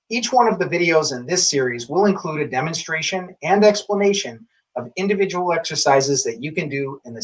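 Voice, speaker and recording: A plain, everyday voice from a man, fairly high in pitch, at a fairly quick pace with lively intonation, big swings in loudness and hardly any pauses. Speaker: tai chi instructor. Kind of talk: instructional introduction to camera.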